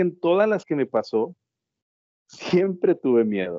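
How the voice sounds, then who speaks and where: A man speaks at a fairly slow pace. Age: 40s. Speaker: freight transport worker. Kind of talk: casual interview.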